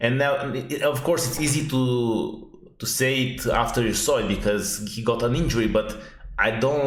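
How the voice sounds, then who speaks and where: A man with a Romanian accent speaks at a fairly slow pace with fairly even intonation, and room echo can be heard. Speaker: fantasy football youtuber. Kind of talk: unedited casual analysis monologue. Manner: halting, many fillers.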